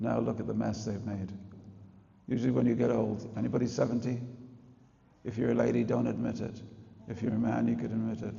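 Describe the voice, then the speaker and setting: A man with an English accent talks at a very fast pace yet leaves long, frequent pauses. Room echo and background noise are both noticeable. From England. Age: 60s. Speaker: spiritual teacher. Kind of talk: religious talk to an audience. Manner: animated.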